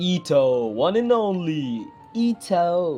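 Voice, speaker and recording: A non-native accent over music in the background. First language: not English. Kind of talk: casual gaming talk to camera.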